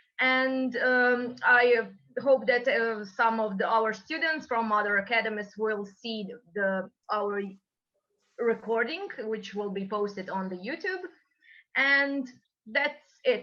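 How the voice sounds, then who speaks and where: A woman's fairly high voice with a Croatian accent, very slow, with long, frequent pauses. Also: ordinary pitch variation. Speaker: moderator. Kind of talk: webinar moderation. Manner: halting.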